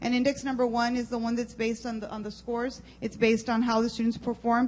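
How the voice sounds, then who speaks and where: There is noticeable background noise as a woman speaks at a very fast pace. Her pitch is fairly high and her intonation monotone and flat. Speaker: school district administrator. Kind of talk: presentation at board meeting. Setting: school board meeting.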